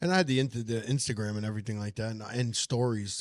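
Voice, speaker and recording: A man with a New York accent speaks in a medium pitch in a very clean recording with a silent background. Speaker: comedian. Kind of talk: casual chat. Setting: diner.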